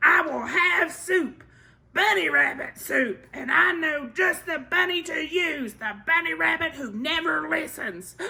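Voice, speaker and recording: A woman's put-on character voice, high-pitched, raised and projected, fairly slow, with lively intonation. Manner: howling, furious.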